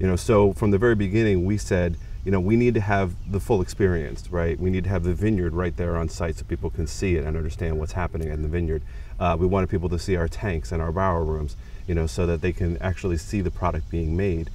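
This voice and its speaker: A man speaks at a very fast pace in a very deep, low voice with ordinary pitch variation, the sound dry with no echo over light background noise. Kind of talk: interview answer. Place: garden. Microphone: lapel.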